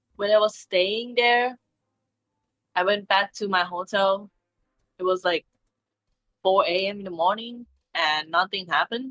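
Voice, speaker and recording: A woman in a Thai accent at medium pitch, fairly slow in pace, with ordinary pitch variation and long, frequent pauses. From Thailand. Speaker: streamer. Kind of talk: casual interview.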